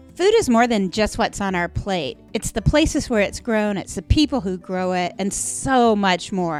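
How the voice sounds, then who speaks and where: Over background music, a woman with a medium pitch speaks at a moderate pace with lively intonation and hardly any pauses. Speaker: podcast host. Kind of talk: podcast intro to listeners.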